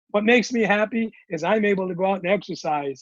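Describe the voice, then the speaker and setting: A man speaks in a dry, close sound with no echo, keeping a moderate tempo and ordinary pitch variation. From Hawaii. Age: 60s. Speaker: comedian. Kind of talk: casual interview chat. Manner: halting, many repeated words.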